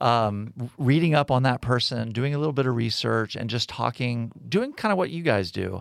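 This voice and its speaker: A man with a plain, everyday voice and an American accent, medium pitch and ordinary pitch variation, in a very clean recording with a silent background. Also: moderate pace, hardly any pauses. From Texas and South Florida. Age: 50s. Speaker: university president. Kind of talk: casual interview.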